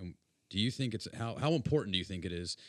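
A man's voice with a bright, sharp tone. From US South (Tallahassee), born in Las Vegas. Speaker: podcast host. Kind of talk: casual chat.

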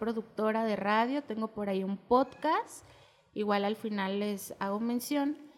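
A woman speaks with an unremarkable speaking voice at a fairly high pitch. Her pace is fairly slow and her intonation fairly even. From Mexico. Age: 30s. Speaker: poet and radio producer. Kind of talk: podcast interview.

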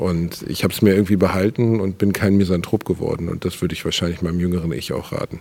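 Very deep and low, a man's voice moves at a very fast pace with hardly any pauses and fairly even intonation. Noticeable background noise runs underneath. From Ruhr area, Germany (Gelsenkirchen). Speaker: comedian. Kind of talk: casual interview.

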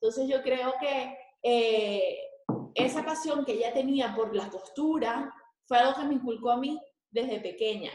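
With audible room echo, a woman speaks at a fairly slow pace in a high pitch with ordinary pitch variation. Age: 20s. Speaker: fashion designer and school coordinator. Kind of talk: interview.

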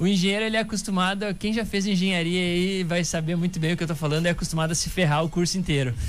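A man's high, very fast voice with fairly even intonation and very even loudness, music playing in the background. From Rio Grande do Sul, Brazil (Santa Rosa). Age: 20s. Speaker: startup founder. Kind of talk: casual interview.

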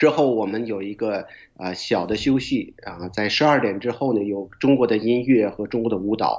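Speaking at a moderate pace, a man with an unremarkable speaking voice keeps a medium pitch with ordinary variation. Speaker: school board member. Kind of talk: casual interview.

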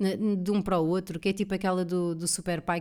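Speaking at a very fast pace, a woman has a fairly low pitch and a dark, mellow tone, recorded very cleanly against a silent background. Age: 30s. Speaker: comedian and podcast host. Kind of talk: solo casual monologue. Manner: animated.

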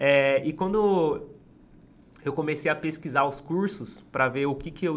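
In a normal speaking voice, a man talks at a fairly slow pace with a fairly high pitch. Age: 20s. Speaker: street vendor and entrepreneur. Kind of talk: interview storytelling.

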